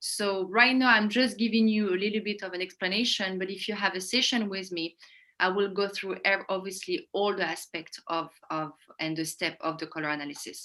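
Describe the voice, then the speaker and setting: A woman with a French accent speaks at a medium pitch in a bright, sharp tone with ordinary pitch variation. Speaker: image consultant. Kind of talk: webinar explanation.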